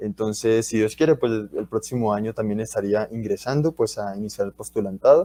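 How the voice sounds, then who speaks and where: This man talks at a fairly quick pace with hardly any pauses. The sound is dry and close, with no echo. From Colombia, Bucaramanga (Santander). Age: 20s. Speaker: university student and guest speaker. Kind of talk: talk to school students. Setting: livestreamed school talk.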